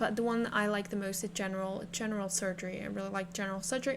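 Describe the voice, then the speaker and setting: In a non-native accent, the somewhat breathy speaker keeps fairly even intonation at a very fast pace. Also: woman. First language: not English. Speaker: game streamer. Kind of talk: gameplay live stream commentary. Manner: halting, many fillers and repeats.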